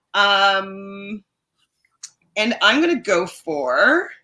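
The voice has a bright, sharp tone. Its pitch swings very widely. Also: woman. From Canada. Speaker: podcast host. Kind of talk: casual chat.

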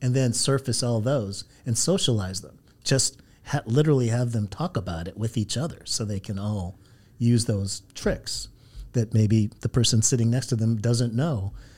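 Against a very clean recording with a silent background, a man with an American accent speaks at a moderate pace and medium pitch, somewhat breathy and with ordinary pitch variation. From Southern California. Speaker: startup founder and CEO. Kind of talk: interview conversation. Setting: studio. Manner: hesitant with frequent fillers.

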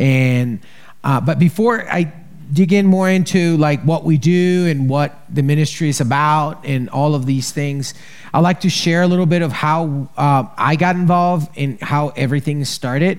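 This man's voice sits fairly high in pitch. He speaks at a moderate pace. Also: ordinary pitch variation. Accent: Colombian. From Colombia, Bogota. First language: Spanish. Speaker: charity director. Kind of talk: testimony. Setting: stage with audience. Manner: halting.

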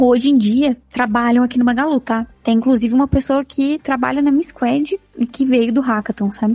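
A woman talks at a fairly quick pace in a dark, mellow tone, her pitch high with ordinary variation. The sound is dry and close, with no echo. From Minas Gerais, Brazil. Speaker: podcast co-host, tech professional. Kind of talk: casual chat.

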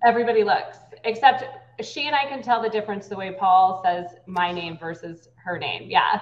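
A fairly high-voiced woman speaks at a moderate pace with an American accent and ordinary pitch variation. Her loudness swings widely, and background noise is noticeable. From US West Coast, San Francisco Bay Area. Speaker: political candidate. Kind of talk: interview.

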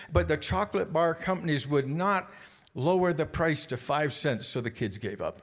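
The man's voice sits fairly high and has vocal fry. He speaks at a moderate pace. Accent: Canadian. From British Columbia, Canada. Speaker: guest speaker at youth group. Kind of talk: sermon. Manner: halting, many filler words.

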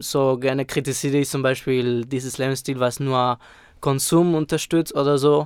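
A man's flat, monotone delivery, recorded dry and close with no echo. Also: medium pitch for a man, moderate pace, very clean recording, silent background. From Spain. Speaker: rapper. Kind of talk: interview.

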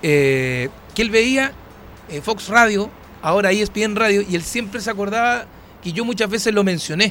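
A man with a Chilean accent, high-pitched, animated in tone and lively in intonation, at a fairly slow pace with long, frequent pauses. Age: 40s. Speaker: radio host. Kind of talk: casual chat.

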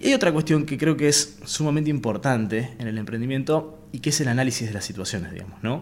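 Lively intonation carries words delivered at a fairly quick pace. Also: man. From Argentina, Avellaneda, Santa Fe. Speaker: real estate entrepreneur. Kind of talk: interview conversation. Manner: halting, with many fillers.

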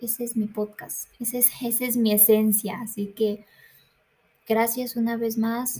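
At a fairly slow pace, a woman speaks in a monotone, flat delivery with fairly high pitch and a dark, mellow tone. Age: 20s. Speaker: podcast host, university student. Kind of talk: casual monologue. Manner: hesitant, many fillers.

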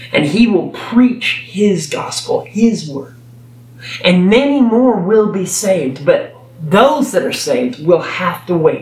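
A man with a high-pitched voice speaks very slowly with lively intonation, over noticeable background noise and audible room echo. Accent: Texan. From Texas. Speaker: preacher. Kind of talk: sermon. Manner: halting.

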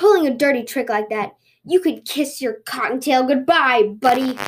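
Putting on a growling character voice, a woman sounds angry, pitched high and speaking at a moderate pace. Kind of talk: casual, colloquial. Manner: snarling, angry.

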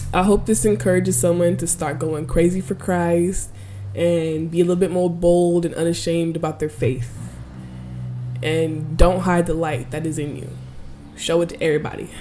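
Audible room echo surrounds a woman with a fairly low pitch who speaks at a moderate pace with ordinary pitch variation. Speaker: faith podcast host. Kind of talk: devotional monologue. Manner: casual.

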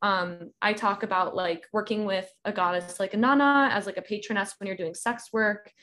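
A woman's unremarkable speaking voice with an American accent, medium in pitch, with ordinary pitch variation and hardly any pauses. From US South, Georgia. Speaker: author and practicing witch. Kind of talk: casual chat.

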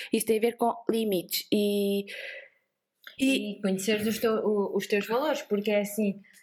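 A woman with a coastal Portuguese accent speaks at a fairly slow pace in a fairly high pitch, with very even loudness and long, frequent pauses. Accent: sing-song coastal Portuguese. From Portugal, Vieira (coastal). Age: 20s. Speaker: productivity entrepreneur, co-founder. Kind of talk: casual interview chat. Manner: animated.

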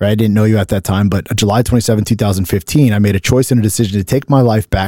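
A man talks at a very fast pace with fairly even intonation. His voice is fairly low in pitch and dark and mellow in tone. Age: 40s. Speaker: podcast host and business coach. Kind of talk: casual chat.

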